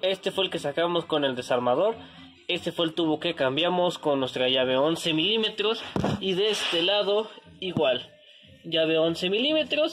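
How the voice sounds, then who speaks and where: The speech comes at a moderate pace against noticeable background noise. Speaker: home car mechanic vlogger. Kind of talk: tutorial. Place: garage. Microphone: phone near.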